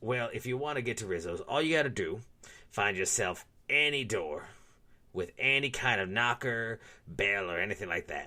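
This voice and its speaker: Using a put-on character voice, a man speaks at a moderate pace and medium pitch. The recording is very clean and the background silent. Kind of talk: comedic ad read. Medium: audio drama.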